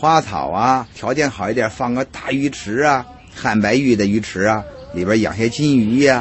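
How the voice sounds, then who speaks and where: A man talks at a moderate pace and medium pitch with lively intonation. Background noise is noticeable. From Beijing. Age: 50s. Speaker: hutong tour guide. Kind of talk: casual explanation.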